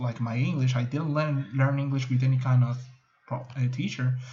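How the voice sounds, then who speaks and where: With audible room echo, a man speaks at a medium pitch in a dark, mellow tone, somewhat breathy and with monotone, flat intonation. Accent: Spanish. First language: Spanish. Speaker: student. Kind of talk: class video presentation. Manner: halting.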